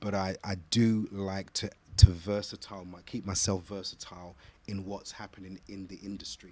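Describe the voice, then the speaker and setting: In a British accent, a man with a fairly low pitch and a dark, mellow tone speaks at a moderate pace in a monotone, flat intonation, his loudness swinging widely. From London, England. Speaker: gospel singer and voice teacher. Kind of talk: interview. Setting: studio. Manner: halting, repeats words.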